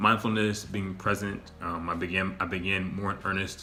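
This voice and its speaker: A man's very deep, low voice comes at a moderate pace with audible room echo. His intonation is monotone and flat. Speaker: vlogger. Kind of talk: casual monologue. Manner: halting, with repetitions.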